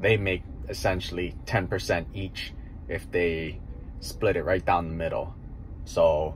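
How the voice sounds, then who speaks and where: A man speaks at a very slow pace with a very deep, low pitch. Light background noise sits behind him. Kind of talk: casual vlog chat. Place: car. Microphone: phone near.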